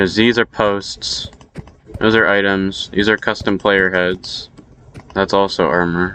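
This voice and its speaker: Mumbling at a very slow pace, a man speaks with a fairly low pitch and fairly even intonation. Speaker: Minecraft map builder. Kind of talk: casual progress update narration. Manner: mumbling, hard to hear.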